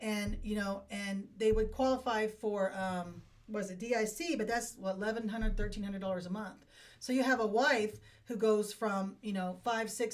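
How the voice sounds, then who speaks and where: A woman's plain, everyday voice with an American accent, fairly high in pitch, at a moderate pace and with fairly even intonation. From Appalachian Ohio. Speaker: veteran and estate planning helper. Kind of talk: interview. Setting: studio.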